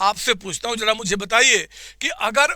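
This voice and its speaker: Raising and projecting his voice, a man speaks fairly slowly in an animated, bright, sharp tone with ordinary pitch variation. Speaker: accounting teacher. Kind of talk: online revision class. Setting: live online class with chat. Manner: repetitive, animated teaching.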